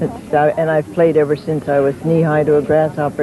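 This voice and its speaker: A woman with a very deep, low pitch talks at a fairly quick pace over noticeable background noise. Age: 70s. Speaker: senior tennis champion. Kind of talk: interview.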